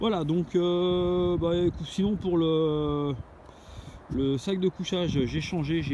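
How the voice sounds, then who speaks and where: Here is a man speaking. His pitch varies in an ordinary way. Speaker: outdoor gear vlogger. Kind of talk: outdoor vlog. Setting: outdoors, camping on a dune. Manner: hesitant, many fillers.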